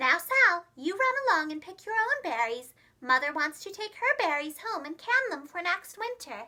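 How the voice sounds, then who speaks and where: A woman's squeaky put-on character voice, extremely high, with very wide pitch swings, big swings in loudness and hardly any pauses. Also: moderate pace. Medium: read story. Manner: brisk, motherly.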